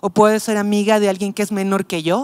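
Moderately paced speech from a woman over a quiet background. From Mexico City. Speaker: pastor. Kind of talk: casual chat. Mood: reflective, personal story. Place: studio. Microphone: handheld.

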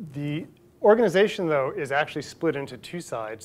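A man's pitch shifts in an ordinary way. He moves along at a fairly quick pace. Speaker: invited lecturer. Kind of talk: lecture. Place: hall. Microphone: lapel.

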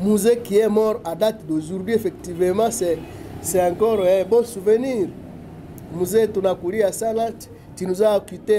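Against light background noise, a man speaks fairly slowly in a high pitch with fairly even intonation. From DR Congo. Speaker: political analyst. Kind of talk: talk show interview. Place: office.

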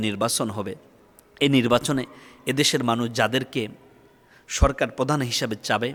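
A man's voice at medium pitch, varying in an ordinary way. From Bangladesh. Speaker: Islamic preacher. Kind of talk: sermon. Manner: impassioned.

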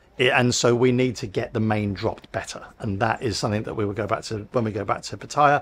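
A man with a fairly low pitch and ordinary pitch variation talks at a fairly quick pace, his fairly bright tone carrying a slightly husky edge.

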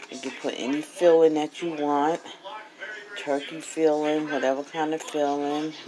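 The pace is moderate. Noticeable background noise runs underneath. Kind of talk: casual cooking vlog chat. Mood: proud, pleased. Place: kitchen. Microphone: phone near.

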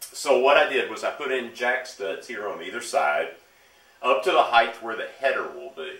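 A man talks at a moderate pace. Room echo can be heard around his voice. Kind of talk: tutorial. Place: garage. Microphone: camera far.

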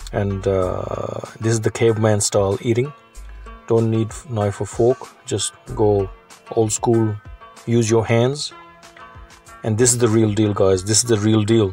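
A man's monotone, flat delivery at a fairly slow pace, with long, frequent pauses, faint music in the background and a dry sound with no echo. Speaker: food vlogger. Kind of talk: casual vlog chat. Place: cafe. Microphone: phone near.

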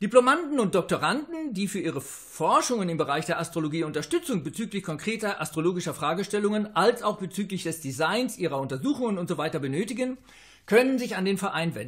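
A man speaks at a high pitch and a fairly quick pace, with very wide pitch swings. The background is quiet. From Germany (Westphalia); Germany. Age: 60s. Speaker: astrologer; interviewee. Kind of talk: interview; interview answer. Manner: halting, with filler sounds. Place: home room. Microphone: webcam.

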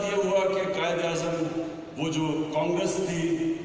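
Male speech with strong room echo and light background noise. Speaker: guest. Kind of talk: public speech. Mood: earnest, storytelling about history. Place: hall. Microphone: pa.

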